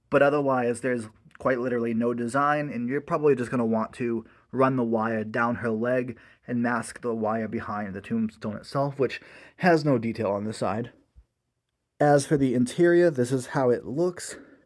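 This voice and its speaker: On a very clean recording with a silent background, a man uses an ordinary speaking voice at medium pitch, with ordinary pitch variation and a moderate pace. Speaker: Halloween prop reviewer. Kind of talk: casual product review talk to camera.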